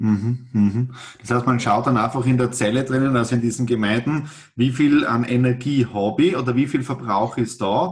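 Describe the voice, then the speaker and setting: A man at a medium pitch talks at a moderate pace, somewhat breathy, with fairly even intonation and very even loudness. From Austria, south-eastern Styria. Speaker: podcast host. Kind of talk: casual interview.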